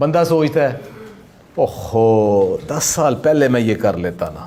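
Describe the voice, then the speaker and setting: Noticeable background noise accompanies speech with lively intonation. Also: man. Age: 60s. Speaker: motivational speaker and yoga teacher. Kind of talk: motivational talk. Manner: animated.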